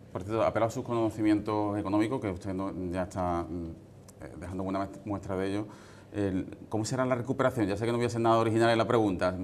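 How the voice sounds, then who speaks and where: Very fast and fairly even in intonation, a man speaks with a fairly low pitch. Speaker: TV presenter. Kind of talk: TV interview questions.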